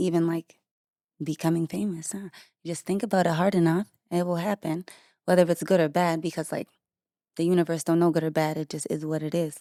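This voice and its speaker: A woman with a dark, mellow tone speaks at a fairly low pitch and a fairly quick pace, with long, frequent pauses. The recording is very clean, with a silent background and a dry, close sound with no echo. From Maine, New England. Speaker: pop singer. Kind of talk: casual interview chat. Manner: monotone; flat, little enthusiasm.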